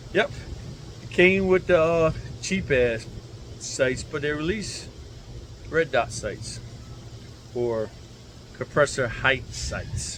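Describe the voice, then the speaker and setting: Speaking at a very slow pace with long, frequent pauses, a man uses lively intonation at a fairly high pitch over light background noise. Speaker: gun reviewer, military veteran; gun owner reviewer. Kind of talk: casual unscripted rant. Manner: slurred speech; rambling, unrehearsed. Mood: relaxed, joking. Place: garden.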